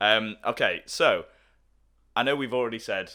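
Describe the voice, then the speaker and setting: The recording is very clean and the background silent. A man talks with an English accent. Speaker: podcast co-host. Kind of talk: casual chat. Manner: loud.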